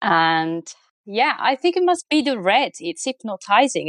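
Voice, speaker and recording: A woman with an Italian accent at a moderate pace, in a dry, close sound with no echo and a quiet background. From Italy. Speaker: motorsport opinion columnist. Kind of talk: casual chat.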